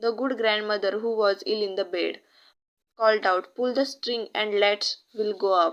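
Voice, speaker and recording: In an Indian accent, a woman speaks at a fairly high pitch. Her intonation stays fairly even. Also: moderate pace. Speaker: college student. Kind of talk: children's story narration.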